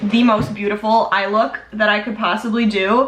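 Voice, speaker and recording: Noticeable background noise runs through the clip. Audible room echo is present as well. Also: woman. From US Midwest, Chicago. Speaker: beauty vlogger. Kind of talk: makeup tutorial and Q&A chat. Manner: casual, chatty.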